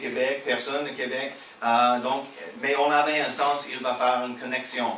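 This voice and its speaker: Amid noticeable background noise and audible room echo, a man speaks fairly slowly in a Quebec accent, his medium pitch delivered in a monotone, flat intonation. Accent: American with Quebec French. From USA. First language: English (speaking French). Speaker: pastor. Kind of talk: sermon. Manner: halting.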